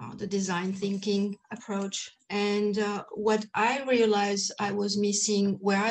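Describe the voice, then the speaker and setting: Her voice is somewhat breathy and medium in pitch. The woman keeps to a fairly slow pace. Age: 50s. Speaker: end of life doula and menopause coach. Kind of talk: interview. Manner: hesitant, many fillers.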